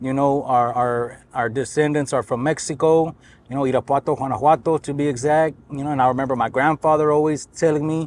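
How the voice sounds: His intonation is fairly even. This man talks at a fairly quick pace. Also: medium pitch for a man.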